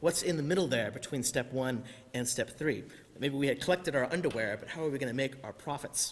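With lively intonation, a man speaks at a very fast pace. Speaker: clergy preaching. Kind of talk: sermon. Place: church. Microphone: podium.

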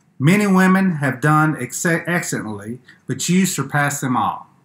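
A man is speaking. Music plays in the background. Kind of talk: scripture reading and prayer. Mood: calm, solemn. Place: home room. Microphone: webcam.

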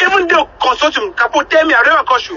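Lively intonation with a bright, sharp tone at a fast pace. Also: man, extremely high pitch for a man.

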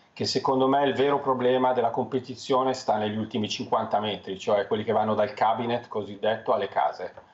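The man's intonation is fairly even, and he speaks at a fairly quick pace. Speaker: financial commentator. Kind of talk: TV interview. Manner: halting. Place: home room. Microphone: headset.

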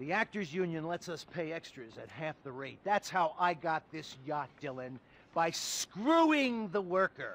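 Putting on a character voice, a man speaks at a fairly high pitch with a fairly bright tone, a fairly slow pace and big pitch swings.

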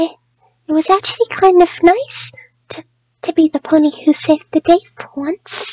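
A woman uses a cartoonish character voice at an extremely high pitch. Her speech has long, frequent pauses. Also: moderate pace. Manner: soft-spoken, timid, hesitant.

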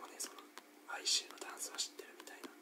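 This man speaks only in a whisper. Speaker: ASMR creator. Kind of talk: whispered ASMR talk while playing a rhythm game. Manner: whispered. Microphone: studio mic.

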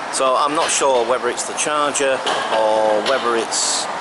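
Loud background noise surrounds a man who speaks with ordinary pitch variation. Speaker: vlogger. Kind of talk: casual vlog chat. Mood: mildly frustrated. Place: street. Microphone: phone near.

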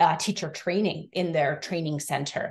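A woman with an American accent, fairly low in pitch and somewhat breathy, with fairly even intonation at a moderate pace against a quiet background. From US Northeast (Massachusetts). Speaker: education researcher. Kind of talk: academic presentation. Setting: video call. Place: home room. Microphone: video call.

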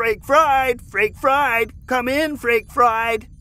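The speaker puts on a character voice and talks at a very slow pace. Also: man, extremely high pitch for a man.

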